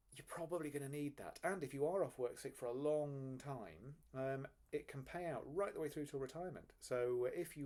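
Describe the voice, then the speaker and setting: With an English accent, a man speaks in a dark, mellow tone at a fairly high pitch with ordinary pitch variation. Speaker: financial advisor. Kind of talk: explainer video. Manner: fast; casual, with filler ums.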